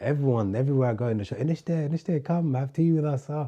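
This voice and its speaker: A man with a London accent, very fast, with a dark, mellow tone. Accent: London English, multicultural London. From London, England. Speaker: podcast guest, expat. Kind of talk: casual chat. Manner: casual, hesitant with fillers.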